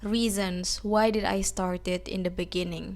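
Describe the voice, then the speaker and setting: A woman talks at a fairly slow pace in an Indonesian accent. Her intonation stays fairly even. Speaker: English-learning YouTuber. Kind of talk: motivational talk to camera.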